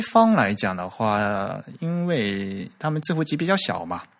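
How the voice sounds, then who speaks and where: A man speaks at a very slow pace. The recording is very clean, with a silent background. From China, Fujian. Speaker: podcast host on typography. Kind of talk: casual chat. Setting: recorded audio podcast.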